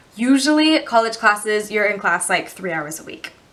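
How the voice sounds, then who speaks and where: An animated woman's voice with very wide pitch swings, over noticeable background noise. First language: Chinese. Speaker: youtube vlogger. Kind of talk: storytime monologue. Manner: casual, animated; fast.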